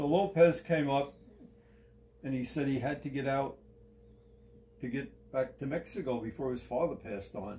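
A man with a fairly high, somewhat breathy voice speaks at a moderate pace, with ordinary pitch variation. His tone is dark and mellow, and long, frequent pauses break up his speech. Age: 80s. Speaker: retired army sergeant major and collector. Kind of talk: personal storytelling in an interview. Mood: relaxed, reminiscing. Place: home room. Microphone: phone near.

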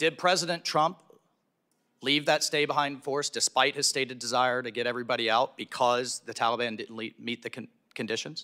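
Against a quiet background, a man speaks at a fairly quick pace in a bright, sharp tone. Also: medium pitch for a man, ordinary pitch variation. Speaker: congressman; witness. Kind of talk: committee questioning. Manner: heated. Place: hall. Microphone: podium.

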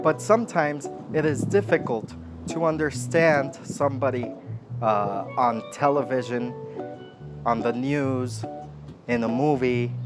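Clear music plays behind a man with an American accent. He speaks at a fairly slow pace with long, frequent pauses. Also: ordinary pitch variation. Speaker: English instructor. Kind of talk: slow-English language lesson talking to camera. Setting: outdoors by a lake. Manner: slow, clear, deliberate. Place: waterside.

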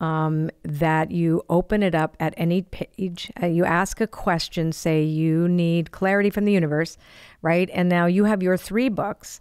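A woman speaks in a plain, everyday voice at a fairly low pitch, fairly slow, with fairly even intonation. Her loudness stays very even against a quiet background. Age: 60s. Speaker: podcast host. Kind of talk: casual chat. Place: studio. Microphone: studio mic.

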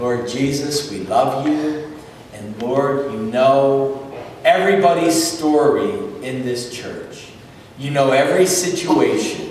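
Very slow speech comes through strong room echo and light background noise. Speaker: pastor. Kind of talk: fervent congregational prayer. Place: church. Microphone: camera far.

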